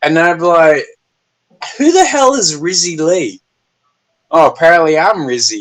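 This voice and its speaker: A man talks at a fairly slow pace in an Australian accent. His pitch is high. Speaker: YouTuber. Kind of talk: casual chat. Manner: animated.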